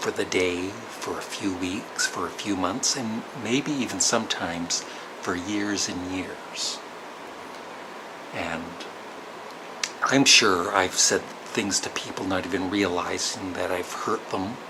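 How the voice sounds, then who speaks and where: Quiet speech with a Canadian accent comes very slowly with long, frequent pauses, audible room echo and noticeable background noise. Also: man, very deep, low pitch for a man. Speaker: vlogger. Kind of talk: personal storytelling vlog. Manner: hesitant.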